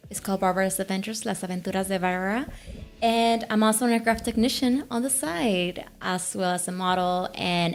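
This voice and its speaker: A woman with a Mexican accent, a medium pitch and a fairly quick pace. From Mexico, Tamaulipas. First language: Spanish. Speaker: author, aircraft technician and former pageant queen. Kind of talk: interview.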